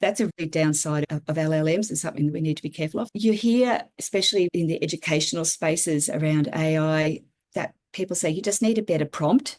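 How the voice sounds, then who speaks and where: A woman with an Australian accent, fairly low pitch, and ordinary pitch variation at a very fast pace. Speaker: regenerative systems designer and writer. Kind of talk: interview conversation.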